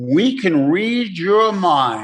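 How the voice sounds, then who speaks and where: A man speaks with an American accent. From New York. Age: 70s. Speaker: recovery workshop speaker. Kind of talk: recovery talk. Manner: halting.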